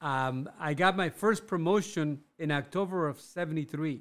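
In a very clean recording with a silent background, a man talks with a Spanish accent. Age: 60s. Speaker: clothing business owner. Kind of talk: casual interview. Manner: halting, repeats words.

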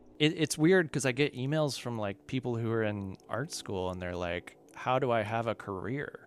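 Man's normal speaking voice at medium pitch with an American accent, lively intonation, a moderate pace and hardly any pauses, on a very clean recording with a silent background. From Kentucky, US. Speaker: visual artist and musician. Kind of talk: casual interview.

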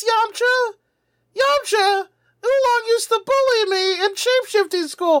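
A woman uses a put-on character voice that is squeaky and extremely high in pitch. She talks at a moderate pace. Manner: whiny, panicked.

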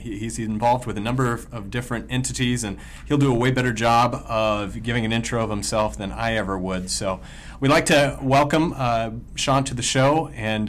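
With vocal fry, a man speaks at a moderate pace in a medium pitch, with ordinary pitch variation. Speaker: podcast host. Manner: upbeat, excited.

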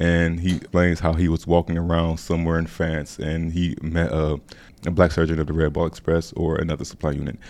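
A man's very deep, low voice at a fairly quick pace, monotone and flat, against a quiet background. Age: 20s. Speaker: university student researcher and documentary narrator. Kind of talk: casual interview chat.

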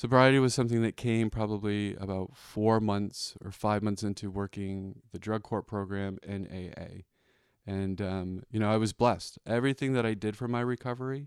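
A man with an American accent and a normal speaking voice talks at a fairly low pitch and a moderate pace with fairly even intonation, in a dry, close sound with no echo and a very clean recording with a silent background. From Boston area, Massachusetts. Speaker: recovering alcoholic. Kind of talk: testimony. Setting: recording at a home.

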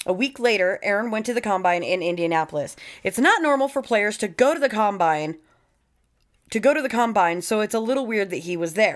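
With an American accent, a woman speaks at a fairly quick pace in a fairly high voice with lively intonation, on a very clean recording with a silent background. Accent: Southern twang, stronger after visiting home. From US South, Florida. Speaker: true crime podcast co-host. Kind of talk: casual chat.

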